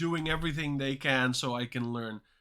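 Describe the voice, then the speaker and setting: This man has a medium-pitched, bright and sharp voice with a slight non-native accent, talking fairly quickly with fairly even intonation on a very clean recording with a silent background. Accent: near-native English. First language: Dutch and Turkish. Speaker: coding learner streamer. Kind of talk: live stream chat. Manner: hesitant, many fillers.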